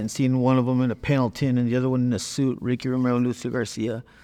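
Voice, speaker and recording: The background is quiet. A man with an American accent talks at a medium pitch. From Northern California (Watsonville). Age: 50s. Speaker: formerly incarcerated ex-gang member. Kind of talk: testimony.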